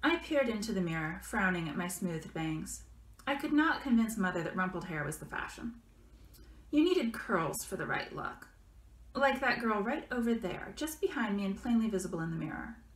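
Fairly quick speech with very wide pitch swings and audible room echo. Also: woman. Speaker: author. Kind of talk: fiction reading by the author. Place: home room. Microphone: webcam.

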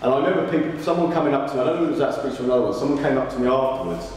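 Strong room echo surrounds a man's voice, along with light background noise. His pitch varies in an ordinary way. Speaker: motivational speaker. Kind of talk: speech. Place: hall.

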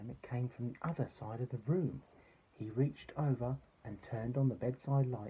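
Reading aloud, plain

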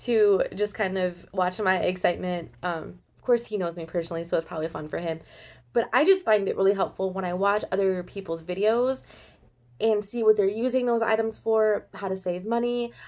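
A woman talks with ordinary pitch variation at a moderate pace. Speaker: haul vlogger. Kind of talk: casual vlog chat. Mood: cheerful, excited. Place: home room. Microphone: phone near.

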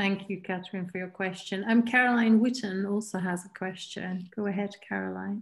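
A somewhat breathy woman talks at a moderate pace with hardly any pauses and a monotone, flat intonation against a quiet background. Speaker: seminar organizer. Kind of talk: moderating Q&A. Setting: video call. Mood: warm, appreciative. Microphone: video call.

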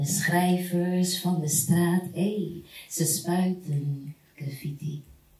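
Speaking very slowly in a fairly low pitch for a woman, she keeps her intonation fairly even while audible room echo fills the space. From Rotterdam, Netherlands. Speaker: spoken word artist. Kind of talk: spoken word poetry performance. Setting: live stage performance with audience. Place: hall.

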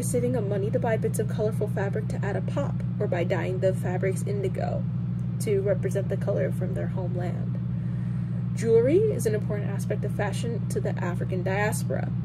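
A woman talks at a fairly quick pace. Loud background noise runs underneath. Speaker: presenter. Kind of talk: educational presentation. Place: home room. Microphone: earbuds.

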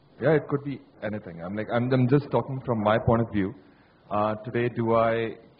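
A man has a normal speaking voice at a medium pitch, moving at a fairly quick pace with fairly even intonation. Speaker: marketing executive. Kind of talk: panel discussion. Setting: stage with audience.

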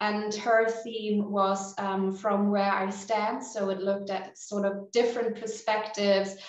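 Over a quiet background with audible room echo, a woman speaks at a medium pitch and a fairly slow pace in monotone, flat intonation. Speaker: exhibition coordinator. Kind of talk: panel discussion. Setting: video call. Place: office. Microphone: webcam.

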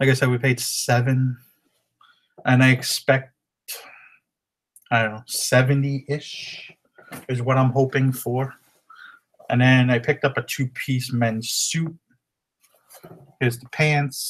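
This man's voice is somewhat breathy, and his intonation stays monotone and flat. He talks at a fairly slow pace with long, frequent pauses. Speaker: reseller showing haul. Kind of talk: casual vlog chat. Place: home room. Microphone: webcam.

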